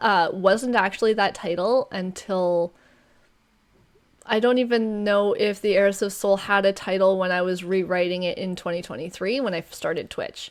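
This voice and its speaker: Speaking at a fairly slow pace, a woman keeps her intonation fairly even. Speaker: debut novelist and streamer. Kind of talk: interview. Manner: halting.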